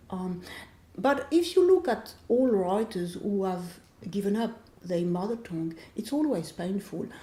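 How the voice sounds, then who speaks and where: Speaking in a French accent at a fairly slow pace, a woman has a medium pitch and lively intonation. Her voice is somewhat breathy, with a dark, mellow tone. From France. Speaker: author. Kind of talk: interview.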